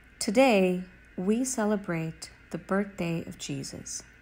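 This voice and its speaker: Somewhat breathy, a woman speaks very slowly at a medium pitch with ordinary pitch variation. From Sri Lanka. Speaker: attorney. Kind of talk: spiritual talk.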